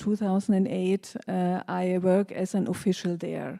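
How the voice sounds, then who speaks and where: A woman speaking at a fairly slow pace on a very clean recording with a silent background. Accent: German. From Germany. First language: German. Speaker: party candidate. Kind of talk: campaign speech.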